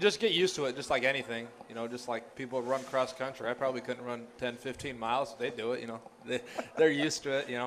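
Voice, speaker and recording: Very fast speech from a man at medium pitch, fairly even in intonation, over noticeable background noise. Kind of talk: post-game interview chat. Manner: relaxed, conversational, filler-heavy, repeating 'you know'.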